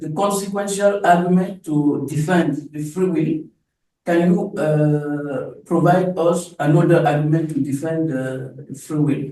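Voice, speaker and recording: Speaking at a fairly slow pace with fairly even intonation, a man with a French accent has a dark, mellow tone and a fairly high pitch. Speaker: seminar attendee. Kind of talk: audience question. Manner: halting.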